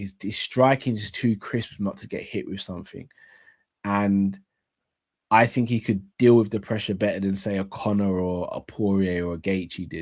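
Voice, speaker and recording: In a London accent, a man with fairly low pitch talks at a moderate pace with ordinary pitch variation. The recording is very clean, with a silent background. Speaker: sports YouTube host. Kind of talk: live Q&A chat reading audience comments. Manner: casual, with many fillers and repetitions.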